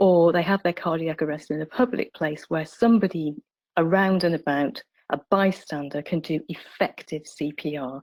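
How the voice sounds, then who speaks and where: An ordinary speaking voice belongs to this woman, who has a fairly low pitch and ordinary pitch variation. The sound is dry and close, with no echo. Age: 60s. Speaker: palliative care doctor. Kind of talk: webinar presentation.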